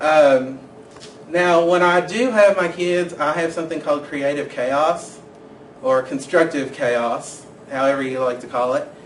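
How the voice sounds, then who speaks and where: The recording carries audible room echo and noticeable background noise. A man with a fairly high pitch speaks at a fairly slow pace, with ordinary pitch variation. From Kentucky, Winchester. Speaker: education student. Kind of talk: personal introduction video.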